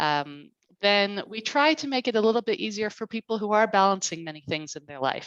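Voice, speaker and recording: Against a quiet background, the voice moves at a fairly quick pace with very wide pitch swings and big swings in loudness. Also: woman. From Canada. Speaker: college marketing head. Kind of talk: online info session presentation.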